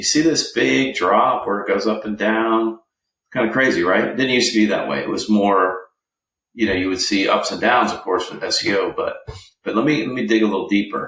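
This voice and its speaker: This man has a plain, everyday voice, pitched medium with ordinary pitch variation, and he moves at a fairly quick pace. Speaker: digital marketing agency owner. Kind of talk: screen-share tutorial. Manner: casual with many fillers.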